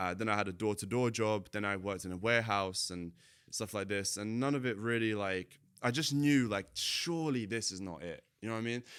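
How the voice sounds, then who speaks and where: The speaker has a British accent and a fairly quick pace. Pitch varies in an ordinary way over a very clean recording with a silent background. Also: man, fairly low pitch for a man. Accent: sounds kind of British. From Latvia, moved to UK at 10. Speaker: entrepreneur, marketing agency owner. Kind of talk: casual interview chat. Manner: casual, filler-heavy.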